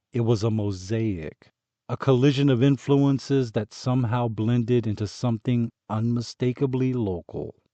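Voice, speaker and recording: A man's plain, everyday voice at a fairly slow pace. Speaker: audiobook narrator, voice artist. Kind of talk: audiobook narration.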